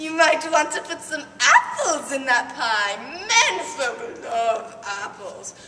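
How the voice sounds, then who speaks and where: A woman uses a put-on character voice, high-pitched with very wide pitch swings at a fairly slow pace. Clear background noise and a slight echo are present. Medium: read story.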